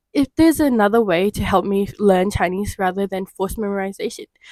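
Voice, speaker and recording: In a dry, close sound with no echo, a woman speaks at a fairly high pitch with ordinary pitch variation. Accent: Australian. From Australia. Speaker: English teacher. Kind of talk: podcast conversation.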